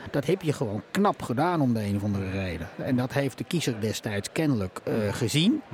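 Fairly quick speech with hardly any pauses and very wide pitch swings, against noticeable background noise. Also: man, medium pitch for a man. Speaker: podcast host. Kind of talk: political interview. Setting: live podcast recording at a media festival, bar noise.

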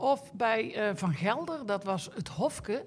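A woman's lively-sounding, somewhat breathy voice. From Netherlands, Eindhoven (Brabant). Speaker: equestrian rider and trainer. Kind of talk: casual interview. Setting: hot exhibition hall at a horse event.

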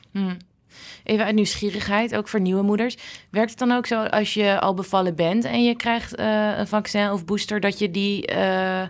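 On a very clean recording with a silent background, a woman with a medium pitch speaks at a moderate pace in a plain, everyday voice with fairly even intonation. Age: 30s. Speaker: podcast host. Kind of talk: interview. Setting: hospital.

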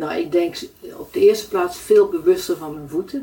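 Her pitch fairly high, a woman speaks with very wide pitch swings. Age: 70s. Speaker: client of a foot therapist. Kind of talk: interview.

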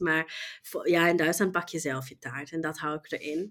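A woman's fairly low voice at a moderate pace, with a slight German accent. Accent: near-native Dutch, slight German. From Germany. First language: German (speaking Dutch). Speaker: e-commerce professional. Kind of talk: interview. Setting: online call.

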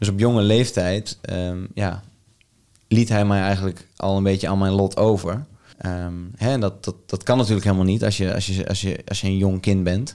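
A man's dark, mellow voice, fairly low in pitch, at a moderate pace with fairly even intonation. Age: 20s. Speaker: men's coach. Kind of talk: interview. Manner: halting.

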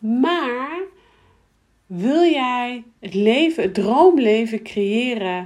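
Her voice is fairly high, with a slightly mellow tone and lively intonation as the woman speaks.

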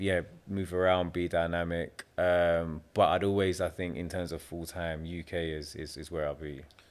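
With a South London accent, a man speaks in a very deep, low voice and a monotone, flat intonation. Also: moderate pace, hardly any pauses. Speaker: property developer. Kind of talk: casual chat. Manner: laid-back.

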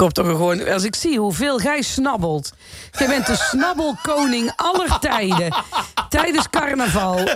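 A woman speaks at a fairly slow pace in a high voice, her pitch swinging very widely. Her loudness stays very even over noticeable background noise. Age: 50s. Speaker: radio host. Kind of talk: casual radio chat.

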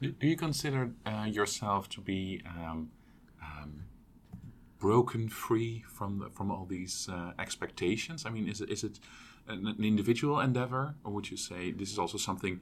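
In a normal speaking voice, a man talks at a moderate pace with a fairly low pitch. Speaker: co-host interviewer. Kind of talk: interview conversation.

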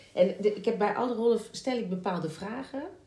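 Amid noticeable background noise and audible room echo, a woman talks at a fairly quick pace with ordinary pitch variation. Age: 40s. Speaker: musical theatre actress and podcast host. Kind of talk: casual chat. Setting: at the guest's home.

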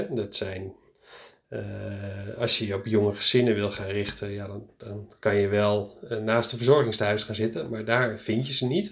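A man with a fairly low, somewhat breathy voice speaks at a moderate pace. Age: 40s. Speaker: practice start-up consultant. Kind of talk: solo podcast monologue. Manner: casual, hesitant with many fillers.

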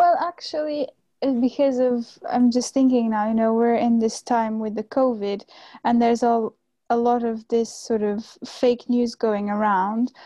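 In a Portuguese accent, a woman speaks at a fairly slow pace with a fairly high pitch. Her tone is dark and mellow, with a dry, close sound and no echo. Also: ordinary pitch variation. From Portugal, Cascais near Lisbon. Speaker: graduate student. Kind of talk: interview.

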